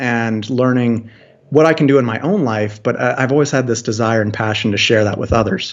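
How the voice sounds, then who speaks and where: With an American accent, a man talks in an unremarkable speaking voice at medium pitch, his intonation fairly even. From US, Washington DC metro area. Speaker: food forest designer. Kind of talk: interview.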